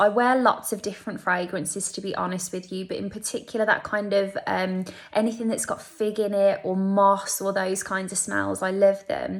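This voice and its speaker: A woman talks with a Birmingham accent and fairly even intonation. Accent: Birmingham (Brummie). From Birmingham, English Midlands. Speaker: beauty vlogger. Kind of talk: casual beauty tutorial. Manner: chatty, conversational.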